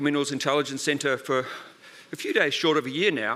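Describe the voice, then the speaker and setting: A man's bright, sharp voice with an Australian accent. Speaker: research centre director. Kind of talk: conference talk. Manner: fast.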